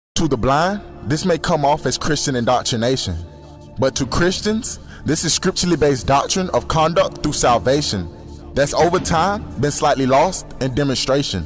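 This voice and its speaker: Over music in the background, a man with a fairly high pitch talks at a moderate pace with lively intonation and very even loudness. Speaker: spoken word poet. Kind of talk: spoken word poetry performance.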